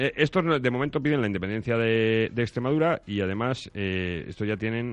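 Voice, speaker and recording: A plain, everyday voice, this man's medium pitch rides lively intonation at a fairly quick pace against a quiet background. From Ávila province, Castile, Spain. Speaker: radio contributor and columnist. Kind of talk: casual radio chat.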